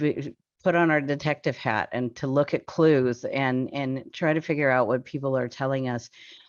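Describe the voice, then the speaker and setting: Over a quiet background, a woman is speaking. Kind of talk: webinar presentation. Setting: video call webinar. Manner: halting with many fillers.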